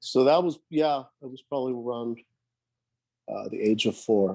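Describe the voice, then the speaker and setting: A man's voice with a dark, mellow tone. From Sweden (Gothenburg). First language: Swedish. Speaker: professional rock drummer. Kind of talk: casual interview.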